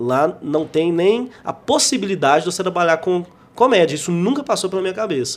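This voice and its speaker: A man talks with lively intonation at a high pitch. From Brazil, Minas Gerais (João Monlevade). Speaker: stand-up comedian. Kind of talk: casual interview. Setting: studio.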